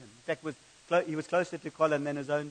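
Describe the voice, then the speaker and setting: A man's fairly high pitch at a very fast pace, in a monotone, flat intonation. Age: 50s. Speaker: pastor. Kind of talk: sermon. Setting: church.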